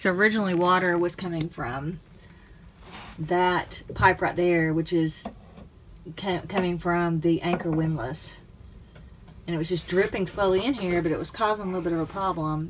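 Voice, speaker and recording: A woman speaks at a moderate pace with fairly even intonation. Light background noise is audible. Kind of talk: casual vlog chat. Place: boat. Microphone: phone near.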